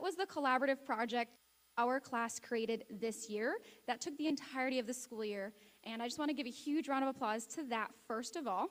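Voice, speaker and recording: Loud and fairly quick, a woman talks with an American accent. Her voice is high-pitched, with ordinary pitch variation. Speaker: teacher presenting awards. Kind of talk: awards ceremony speech.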